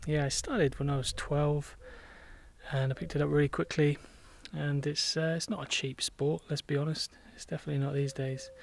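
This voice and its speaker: A man's somewhat breathy, fairly high voice with an English accent, monotone and flat, at a fairly quick pace. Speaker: vlogger doing barn renovation. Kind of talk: casual vlog talk while working.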